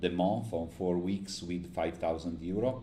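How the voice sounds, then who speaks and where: A man's very deep, low voice, dark and mellow in tone, at a moderate pace with audible room echo. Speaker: day trader streamer. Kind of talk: live trading stream commentary. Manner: halting, many fillers.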